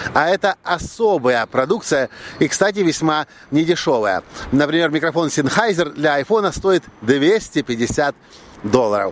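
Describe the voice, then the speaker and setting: A man with an ordinary speaking voice talks at a fairly slow pace in a fairly high pitch, with lively intonation. His loudness stays very even, and the sound is dry and close with no echo. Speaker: podcaster and video blogger. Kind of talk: solo vlog monologue.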